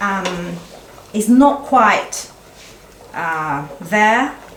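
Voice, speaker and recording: Noticeable background noise and audible room echo run through the recording. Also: woman. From Italy. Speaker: chef. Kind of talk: cooking demonstration. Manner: halting.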